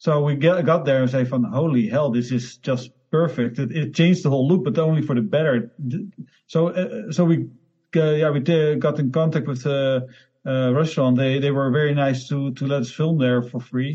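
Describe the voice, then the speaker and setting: A somewhat breathy male voice, fairly high in pitch, with ordinary pitch variation. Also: moderate pace. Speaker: independent filmmaker. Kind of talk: interview. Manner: halting.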